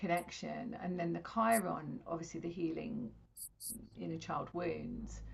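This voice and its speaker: A woman with an English accent at a fairly slow pace. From England. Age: 50s. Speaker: intuitive astrologer and spiritual teacher. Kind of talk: interview.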